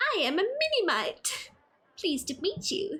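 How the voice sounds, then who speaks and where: A woman performs a put-on character voice at an extremely high pitch with a theatrical tone. Her pitch swings very widely at a moderate pace. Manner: polite, theatrical, pleased to meet you.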